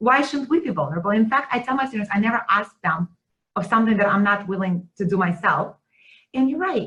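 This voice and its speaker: Speaking at a fairly quick pace in a Russian accent, a woman uses very wide pitch swings. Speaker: teaching center director. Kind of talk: webinar conversation. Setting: video webinar.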